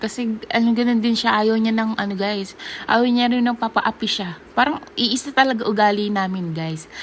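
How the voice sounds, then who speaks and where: A woman's animated voice at a moderate pace, with noticeable background noise. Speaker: vlogger. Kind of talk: casual vlog chat.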